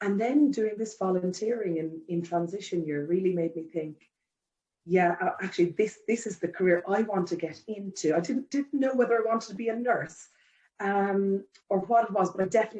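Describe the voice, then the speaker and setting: A woman with an Irish accent speaks at a fairly quick pace, her dark, mellow tone sitting at a medium pitch with ordinary pitch variation. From Ireland. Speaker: care home general manager. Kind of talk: interview. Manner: conversational, many fillers.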